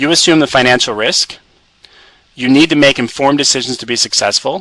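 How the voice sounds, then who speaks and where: This man speaks at a fairly quick pace, with fairly high pitch and ordinary pitch variation. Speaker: publishing company presenter. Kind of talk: webinar presentation. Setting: conference call webinar. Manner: fast.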